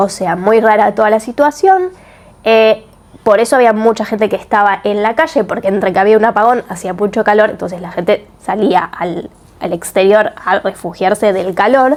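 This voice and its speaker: With a Rioplatense accent, a woman talks at a moderate pace, her fairly high pitch showing ordinary variation. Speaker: book and series reviewer. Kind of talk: video review. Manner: casual.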